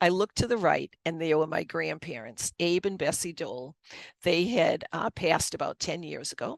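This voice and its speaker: Lively intonation in a Boston accent, with vocal fry, a moderate pace, and a dry, close sound with no echo. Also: woman, fairly low pitch for a woman. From Boston area, US. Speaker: author and Reiki master. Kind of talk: personal testimony in interview.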